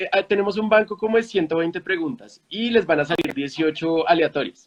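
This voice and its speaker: A man's high-pitched voice, fairly quick, with ordinary pitch variation and a dry, close sound with no echo. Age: 20s. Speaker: founder of a news literacy platform. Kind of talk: interview conversation.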